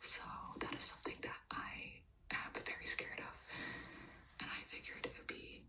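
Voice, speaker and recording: Whispering at a fairly slow pace, a woman can be heard against noticeable background noise. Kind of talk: personal vlog-style update, whispered ASMR talk.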